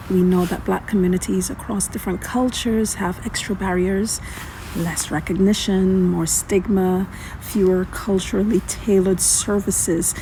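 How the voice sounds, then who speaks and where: A woman speaks at a moderate pace with monotone, flat intonation. Noticeable background noise runs beneath her. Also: medium pitch for a woman. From Caribbean. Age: 50s. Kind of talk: informational narration with statistics.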